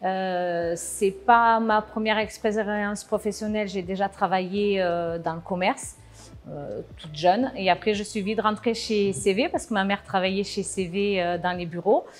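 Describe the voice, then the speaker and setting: A woman at a medium pitch with ordinary pitch variation, a fairly slow pace, and music in the background. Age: 40s. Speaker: production manager. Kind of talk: interview. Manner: hesitant, many filler sounds.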